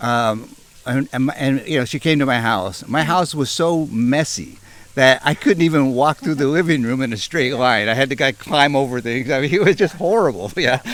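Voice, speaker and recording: A man with an American accent speaks in an unremarkable speaking voice, pitched fairly high. His pace is moderate and his pitch varies in an ordinary way. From Northern California. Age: 60s. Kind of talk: interview answer.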